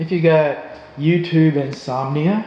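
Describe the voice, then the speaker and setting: A man speaks at a very slow pace with a fairly high pitch and ordinary pitch variation, over noticeable background noise. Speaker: live streamer. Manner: casual, chatty.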